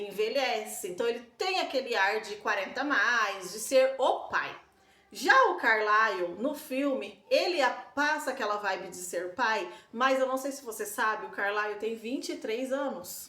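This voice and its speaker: Noticeable background noise and audible room echo surround a woman's voice. She speaks fairly slowly at a high pitch. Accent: rural Brazilian. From Brazil, countryside. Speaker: book-series vlogger. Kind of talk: casual vlog talk. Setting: home balcony. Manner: hesitant, many fillers.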